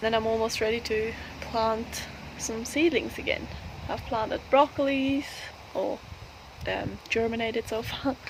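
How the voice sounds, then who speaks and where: A woman at a fairly high pitch, fairly slow with long, frequent pauses and fairly even intonation, over noticeable background noise. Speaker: homestead vlogger. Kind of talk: casual garden vlog walkthrough. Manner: hushed, quiet.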